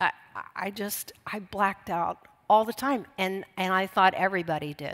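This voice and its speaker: At a fairly slow pace, a woman talks in a medium pitch with an unremarkable speaking voice, on a very clean recording with a silent background. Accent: American. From US Midwest, Columbus, Ohio. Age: 60s. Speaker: recovery speaker. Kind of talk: testimony.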